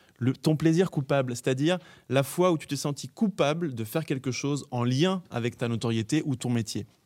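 Delivered at a moderate pace, a man's ordinary speaking voice sits at a fairly high pitch. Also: ordinary pitch variation. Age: 30s. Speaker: podcast host. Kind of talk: casual interview. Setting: theatre stage.

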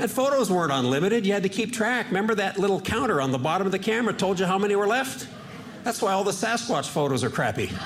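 A man speaks at a very fast pace with a high pitch, lively intonation and very even loudness. Audible room echo and noticeable background noise are present. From Washington State, US. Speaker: stand-up comedian. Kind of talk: stand-up.

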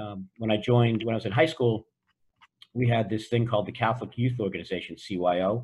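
Somewhat breathy and with an American accent, a man talks at a fairly quick pace and medium pitch with ordinary pitch variation. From US Northeast (Boston). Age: 60s. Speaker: entrepreneur. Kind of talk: interview. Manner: direct, assertive with a warm tone.

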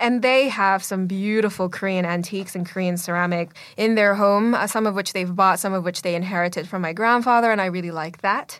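On a very clean recording with a silent background, a woman of medium pitch speaks fairly quickly with fairly even intonation and hardly any pauses. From Canada. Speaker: magazine editor. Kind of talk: interview conversation. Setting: recording studio.

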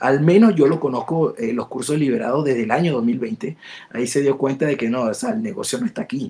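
A man with an unremarkable speaking voice, fairly high in pitch, with lively intonation at a moderate pace. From Latin America. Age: 40s. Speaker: database expert. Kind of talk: interview. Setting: live stream.

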